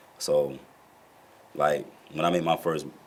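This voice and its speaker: A man speaks with monotone, flat intonation against noticeable background noise. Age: 30s. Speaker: rapper and label co-founder. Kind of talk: interview. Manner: casual, streetwise.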